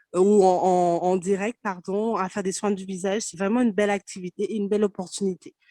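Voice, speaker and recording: In a dry, close recording with no echo, a woman with a medium-pitched, dark, mellow voice talks at a fairly quick pace in a flat monotone, hardly pausing at all. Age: 20s. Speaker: network marketing distributor. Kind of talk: testimony. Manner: halting.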